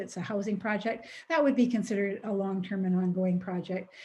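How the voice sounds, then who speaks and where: A woman with a Canadian accent speaks at a very fast pace in a somewhat breathy, medium-pitched voice with a dark, mellow tone and fairly even intonation. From Alberta, Canada. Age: 70s. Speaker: retired teacher presenting a seniors project. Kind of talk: webinar presentation. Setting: online webinar.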